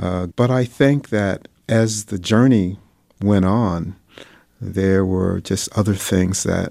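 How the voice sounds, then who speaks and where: A man with an American accent, fairly low pitch, a dark, mellow tone and a very slow pace. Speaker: environmental activist. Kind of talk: interview.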